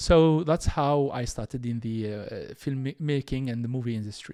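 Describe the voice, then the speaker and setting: A man with a North African accent talks at a moderate pace. The recording is very clean with a silent background and a dry, close sound with no echo. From Algeria. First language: Tamazight. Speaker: entrepreneur and former filmmaker. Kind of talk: interview. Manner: halting.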